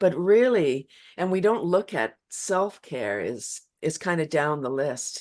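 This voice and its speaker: A woman speaks at a very slow pace, her pitch swinging very widely. Vocal fry runs through her voice over a quiet background. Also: fairly low pitch for a woman. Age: 60s. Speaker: laughter yoga practitioner. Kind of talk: casual interview chat.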